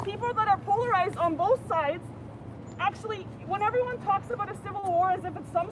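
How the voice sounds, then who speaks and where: Over noticeable background noise, a woman talks at a fairly quick pace in an extremely high pitch, her tone animated and her pitch variation ordinary. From Canada. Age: 30s. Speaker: passerby at a protest. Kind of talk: heated debate.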